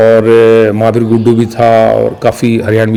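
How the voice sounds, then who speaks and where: A man speaks at a medium pitch with a Haryanvi accent. Music plays in the background. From Haryana, Bhiwani. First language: Haryanvi (speaking Hindi). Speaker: lyricist and story writer. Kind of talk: interview. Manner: halting, many fillers.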